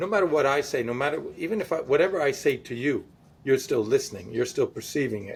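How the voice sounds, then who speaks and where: The voice is loud and moves at a fairly quick pace. Its pitch swings very widely. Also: man. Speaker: podcast co-host. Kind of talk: casual chat.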